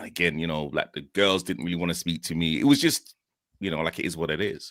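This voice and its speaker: A man with a Yorkshire accent speaks in a very deep, low pitch. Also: very clean recording, silent background. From northern England, Leeds. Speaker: guest sharing mental health story. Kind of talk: personal testimony. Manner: halting, many fillers.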